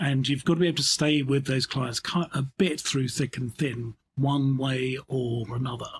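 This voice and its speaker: A somewhat breathy man speaks at medium pitch and a moderate pace. He leaves hardly any pauses, and his intonation stays fairly even. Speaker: insurance company CEO and underwriter. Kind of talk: interview answer. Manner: considered, thoughtful, dry humour.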